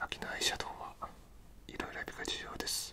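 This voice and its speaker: A woman whispers at a moderate pace. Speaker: ASMR creator doing makeup roleplay. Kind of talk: ASMR makeup tutorial. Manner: whispered. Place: home room. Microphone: studio mic.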